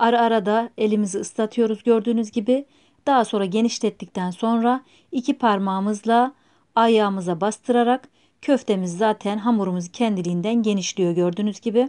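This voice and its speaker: The voice has a dark, mellow tone, fairly even intonation and very even loudness, set against a quiet background. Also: woman. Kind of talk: tutorial. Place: kitchen.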